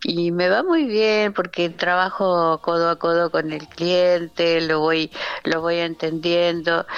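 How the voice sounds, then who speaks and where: The speaker talks at a very slow pace in a monotone, flat intonation. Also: woman, fairly low pitch for a woman. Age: 70s. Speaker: architect and shop window designer. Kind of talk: radio interview.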